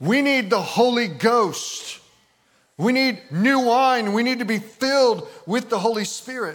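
Speaking at a fairly slow pace, a man uses an extremely high voice with ordinary pitch variation. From Michigan, US. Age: 50s. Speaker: pastor. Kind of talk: sermon. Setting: church. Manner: animated.

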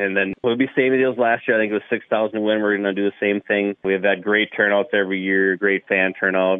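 Very fast speech comes in an American accent. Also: man. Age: 30s. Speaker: race track promoter. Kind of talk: casual interview.

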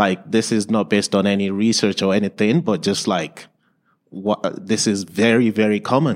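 Speaking with a Nigerian accent, a man has a fairly low pitch and a moderate pace. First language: Yoruba or other Nigerian language. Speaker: learning support teacher. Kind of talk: conference presentation. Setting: stage with audience.

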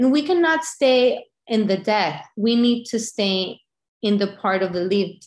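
A woman with a Spanish accent speaks at a fairly slow pace in a fairly high pitch, her intonation lively against a quiet background. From Venezuela. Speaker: bereavement group leader, widow. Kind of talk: interview about grief.

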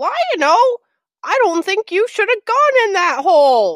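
An extremely high-pitched, put-on character voice at a fairly slow pace. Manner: annoying.

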